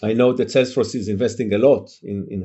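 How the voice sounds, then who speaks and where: A man speaks at a moderate pace and fairly low pitch, his intonation monotone and flat. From Israel. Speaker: tech company founder and CEO. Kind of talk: casual interview. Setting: remote call. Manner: hesitant, many filler sounds.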